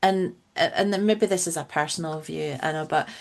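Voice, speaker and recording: A woman speaks fairly slowly with a Scottish accent at a fairly low pitch. Her intonation is fairly even, and the background is quiet. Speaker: funeral celebrant. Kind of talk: podcast interview answer.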